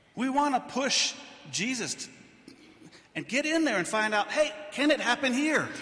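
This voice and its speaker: A man speaks at an extremely high pitch in a raised, projected voice, at a moderate pace. There are long, frequent pauses and noticeable background noise. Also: ordinary pitch variation. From not Switzerland. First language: English (speaking German). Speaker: pastor. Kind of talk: sermon.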